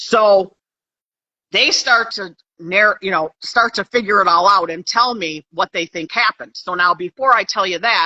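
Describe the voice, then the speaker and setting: A woman with an American accent talks at a moderate pace in an ordinary speaking voice, medium in pitch, with ordinary pitch variation. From Pennsylvania, USA. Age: 60s. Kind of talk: interview answer.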